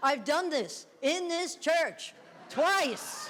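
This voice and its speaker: Amid audible room echo, a woman speaks at a very slow pace. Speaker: amateur comedian. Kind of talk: stand-up. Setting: church stage with audience. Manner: shaky voice.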